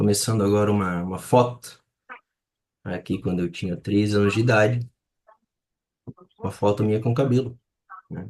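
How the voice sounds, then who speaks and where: A man speaks at a moderate pace, his pitch fairly low with ordinary variation. He leaves long, frequent pauses. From Brazil, Florianópolis (Santa Catarina). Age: 30s. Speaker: photographer. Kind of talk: presentation in live workshop. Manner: halting.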